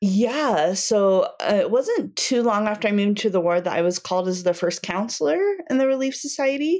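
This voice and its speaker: A woman with an American accent speaks at a moderate pace in an unremarkable speaking voice, her medium pitch carried by lively intonation and very even loudness. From US, Wyoming (Cody). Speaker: speech pathologist and church women's leader. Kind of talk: casual interview.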